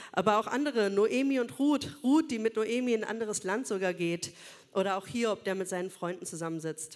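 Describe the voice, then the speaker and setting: With a plain, everyday voice, a woman speaks at a fairly quick pace and fairly high pitch, her intonation lively. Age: 40s. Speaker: social worker and church speaker. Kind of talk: sermon.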